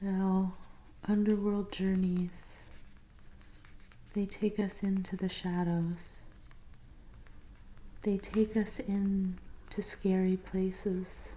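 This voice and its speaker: Soft-spoken delivery comes at a very slow pace. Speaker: tarot reader. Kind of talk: ASMR tarot reading roleplay.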